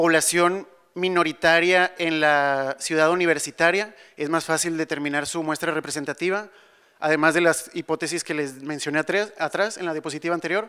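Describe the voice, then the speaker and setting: A high-pitched man with a bright, sharp tone, fairly even intonation and a moderate pace, over a quiet background. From Monterrey, Mexico; Mexico. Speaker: civil engineer; conference presenter. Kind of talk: conference talk; panel Q&A. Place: hall. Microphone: handheld.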